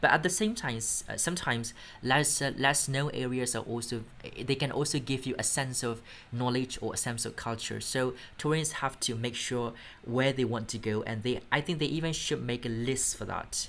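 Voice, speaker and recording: The speaker has a Burmese accent. The pace is moderate. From Myanmar. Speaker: English test instructor. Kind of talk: mock speaking exam answers. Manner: halting, with fillers.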